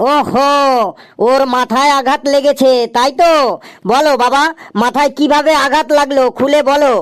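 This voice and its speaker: Someone performs a cartoonish character voice, high in pitch and fairly slow in pace. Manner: interrupting, presumptuous.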